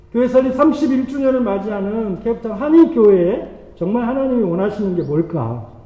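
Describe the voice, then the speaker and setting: Amid noticeable background noise and audible room echo, a man talks high and fairly quick with lively intonation. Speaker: pastor. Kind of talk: sermon. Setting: church. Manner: fast.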